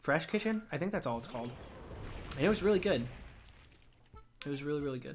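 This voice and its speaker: A man's fairly high-pitched voice at a very fast pace, with very wide pitch swings. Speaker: streamer. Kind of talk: live stream chat while gaming. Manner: casual, meandering.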